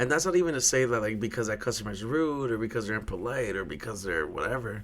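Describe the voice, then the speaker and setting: Talking at a very fast pace with lively intonation, a man is heard over noticeable background noise and audible room echo. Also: medium pitch for a man. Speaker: podcast host and bartender. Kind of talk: casual solo podcast monologue. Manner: loud; repetitive, stammering on words.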